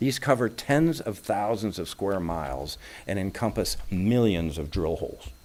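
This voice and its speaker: Speaking at a moderate pace, a man with a fairly low pitch moves through very wide pitch swings. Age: 70s. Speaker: lay speaker at a congregation. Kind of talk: sermon-style talk.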